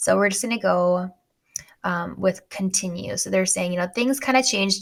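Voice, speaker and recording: Medium-pitched woman with a plain, everyday voice, ordinary pitch variation and a fairly quick pace. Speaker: finance tutorial youtuber. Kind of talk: screen-share tutorial. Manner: casual, chatty.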